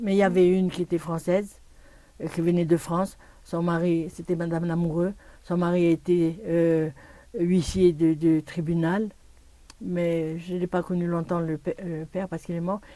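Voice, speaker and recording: A woman with a fairly low pitch and a dark, mellow tone speaks in a monotone, flat way. Her pace is fairly slow, with long, frequent pauses. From Morocco (Port-Lyautey/Kénitra). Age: 80s+. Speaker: Holocaust-era survivor. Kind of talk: oral history interview. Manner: halting, with many hesitations.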